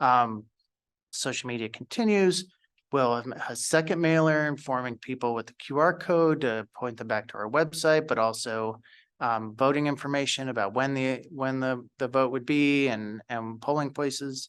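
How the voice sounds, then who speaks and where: In a quiet background, a man speaks at a moderate pace with a medium pitch. His pitch variation is ordinary, and it is an ordinary speaking voice. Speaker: school district communications staff. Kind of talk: presentation at a school board meeting. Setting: school board meeting.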